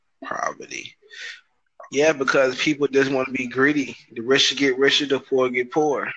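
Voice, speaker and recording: In an American accent, a voice with a bright, sharp tone speaks at a moderate pace. Its intonation is monotone and flat. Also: man, fairly high pitch for a man. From Broward County, Florida. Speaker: podcast host. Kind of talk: casual chat.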